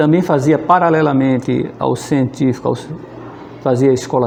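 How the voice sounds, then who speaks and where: Moderately paced speech against noticeable background noise. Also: man. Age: 60s. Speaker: physics teacher. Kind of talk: oral history interview, personal recollection. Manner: conversational, with hesitations and repetitions.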